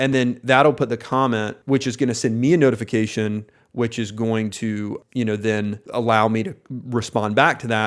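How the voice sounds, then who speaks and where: A man with an American accent at medium pitch, fairly even intonation and hardly any pauses, in a very clean recording with a silent background. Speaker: oral surgery practice owner. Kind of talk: tutorial. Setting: screen recording on computer.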